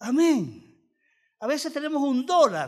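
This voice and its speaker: A man speaks over a quiet background. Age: 60s. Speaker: pastor. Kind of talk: sermon.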